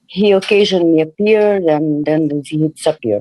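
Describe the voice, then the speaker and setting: Someone with a Portuguese accent talks over music in the background. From Brazil, Rio de Janeiro. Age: 60s. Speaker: caller. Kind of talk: personal testimony on a call-in show. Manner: halting, many fillers.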